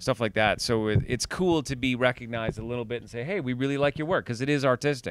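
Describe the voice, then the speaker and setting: A man's very fast speech at medium pitch, with ordinary pitch variation, big swings in loudness, and a dry sound with no echo. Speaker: voice actor. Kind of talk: casual interview chat. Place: home room. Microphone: handheld.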